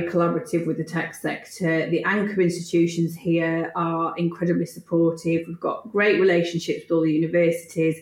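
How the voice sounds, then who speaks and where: In a Yorkshire accent, a woman speaks at a fairly low pitch and a fairly quick pace. Noticeable background noise runs underneath. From Yorkshire, Leeds. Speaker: tech entrepreneur. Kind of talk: interview.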